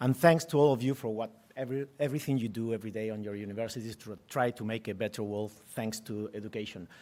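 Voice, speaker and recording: A man with a Spanish accent and a dark, mellow tone, at a very fast pace with ordinary pitch variation, in a very clean recording with a silent background. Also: medium pitch for a man. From Spain. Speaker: tech executive and part-time professor. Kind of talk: conference presentation. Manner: halting, repeats words.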